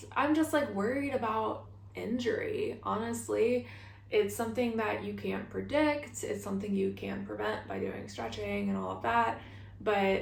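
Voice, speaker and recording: A woman talks at a fairly slow pace with noticeable background noise around her. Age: 30s. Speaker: hiker. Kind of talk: casual talk to camera.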